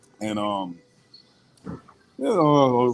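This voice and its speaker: A man at medium pitch with an American accent. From Boston, Massachusetts. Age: 40s. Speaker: YouTube beard reviewer, maintenance worker. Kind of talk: casual interview chat. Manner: calm, relaxed; halting, many ums.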